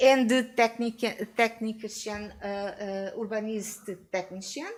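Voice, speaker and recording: The speaker talks at a very slow pace in a Portuguese accent. Pitch varies in an ordinary way. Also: woman. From Portugal. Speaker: academic researcher. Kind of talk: conference presentation Q&A. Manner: halting, many hesitations.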